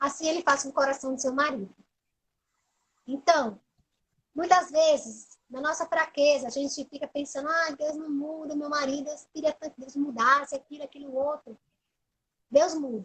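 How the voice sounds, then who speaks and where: A woman's high-pitched voice at a moderate pace, with fairly even intonation, big swings in loudness, and long, frequent pauses. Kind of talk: religious talk on a live stream. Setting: Instagram live. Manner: preaching, emphatic.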